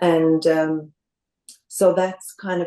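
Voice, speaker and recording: In a Canadian accent, this voice has a dark, mellow tone and a monotone, flat intonation. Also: woman. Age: 60s. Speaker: cancer survivor. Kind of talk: interview. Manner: calm.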